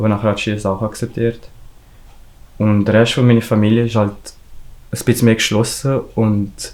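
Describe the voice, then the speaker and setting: A man's fairly low voice with a Valais accent, moderate pace, and fairly even intonation. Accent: Valais Swiss German. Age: young. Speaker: hairdresser apprentice. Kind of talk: interview answer.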